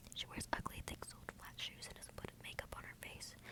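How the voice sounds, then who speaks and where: A very fast whisper over noticeable background noise. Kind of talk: ASMR book reading.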